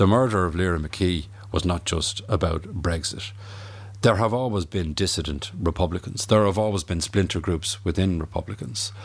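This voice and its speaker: The voice has an Irish accent. Its pitch variation is ordinary. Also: man, very deep, low pitch for a man, moderate pace. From Ireland. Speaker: historian. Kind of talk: interview.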